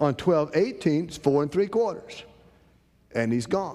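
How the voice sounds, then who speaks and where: Speaking with a North Carolina accent, a man has a dark, mellow tone and very wide pitch swings. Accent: Southern US (North Carolina). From US South, eastern North Carolina. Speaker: trading course instructor. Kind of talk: lecture. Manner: casual, folksy storytelling.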